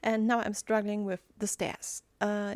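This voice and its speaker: At a fairly slow pace, a woman with a German accent speaks at a medium pitch in a very clean, dry, close recording with a silent background and no echo. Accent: German accent in English, self-described. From Germany. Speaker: gaming YouTuber. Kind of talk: voiceover commentary over gameplay. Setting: home recording, recorded in Audacity. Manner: halting, many fillers.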